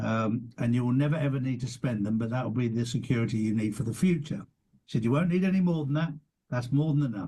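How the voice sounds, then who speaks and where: A man talks at a very fast pace with an English accent. His voice is somewhat breathy, with ordinary pitch variation. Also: medium pitch for a man. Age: 60s. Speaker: podcast host. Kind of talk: casual interview chat.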